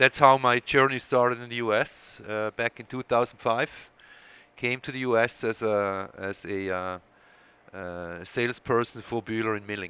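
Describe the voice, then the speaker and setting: At a fairly slow pace, a man in a Swiss accent speaks with medium pitch, ordinary pitch variation, a bright, sharp tone and big swings in loudness, in a dry, close sound with no echo. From Switzerland. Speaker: milling technology executive. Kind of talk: interview. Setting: coffee shop.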